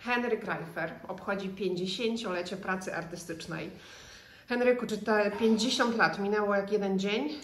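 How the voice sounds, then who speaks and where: A woman at a medium pitch, speaking at a very slow pace amid noticeable background noise. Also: ordinary pitch variation. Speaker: interviewer. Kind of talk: interview.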